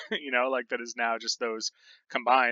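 A plain, everyday voice from a man of medium pitch, at a fairly quick pace with fairly even intonation. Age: 30s. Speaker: podcast co-host. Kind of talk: casual chat.

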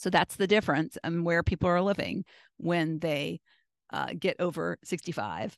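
With an American accent, a woman talks in a fairly low voice marked by vocal fry. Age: 60s. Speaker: podcast host. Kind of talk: solo podcast monologue.

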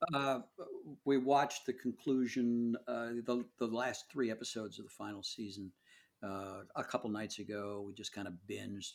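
Medium in pitch, a man talks in a normal speaking voice at a moderate pace. His intonation stays fairly even on a very clean recording with a silent background. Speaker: podcast host. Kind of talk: casual podcast conversation.

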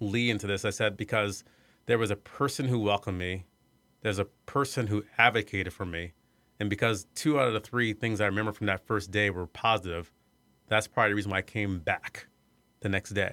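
Speaking at a fairly quick pace, a man with an American accent has a fairly low pitch and a bright, sharp tone. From US Midwest (Iowa). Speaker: arts center executive director. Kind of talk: interview. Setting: studio.

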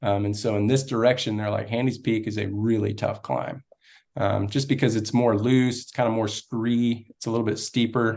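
A man with an American accent talks at a moderate pace. His intonation is monotone and flat, over a quiet background. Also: medium pitch for a man. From Texas (Austin). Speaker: ultrarunner. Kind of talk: casual chat.

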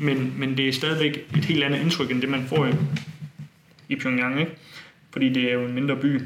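A man's medium-pitched voice, monotone and flat, at a moderate pace with long, frequent pauses. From Denmark, Funen (Bogense). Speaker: student and tour organizer. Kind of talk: interview. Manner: hesitant, many fillers.

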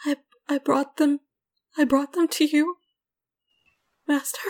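This is a put-on character voice, whispering. It sounds shaky. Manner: shaky whisper.

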